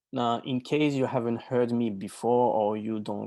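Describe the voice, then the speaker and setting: A man's dark, mellow voice with a slight French accent and fairly even intonation, against a quiet background. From France, Normandy. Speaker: life and business coach. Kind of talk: webinar presentation.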